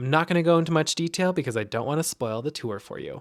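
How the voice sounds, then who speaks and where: A man with an American accent has a plain, everyday voice and a fairly high pitch. His intonation is lively, and the recording is very clean with a silent background. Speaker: travel vlogger. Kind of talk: travel vlog narration.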